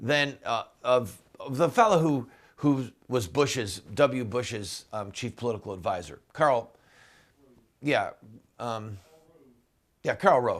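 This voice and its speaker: Using a put-on character voice, a man speaks raspy and medium-pitched at a fairly slow pace, with lively intonation and long, frequent pauses. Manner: stammering, hesitant, recalling from memory.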